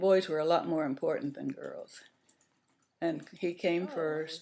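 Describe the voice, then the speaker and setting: A woman speaks with an American accent. Her pace is very slow. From United States, small towns. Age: 80s+. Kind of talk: interview answer.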